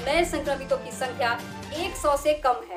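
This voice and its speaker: Music plays behind a woman as she talks. Her pitch sits high for a woman. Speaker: news anchor (student practice). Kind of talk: news bulletin read.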